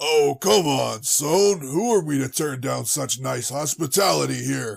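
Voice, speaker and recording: A man puts on a raspy character voice at a medium pitch. He talks at a fairly slow pace. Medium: audio drama. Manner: casual, hearty.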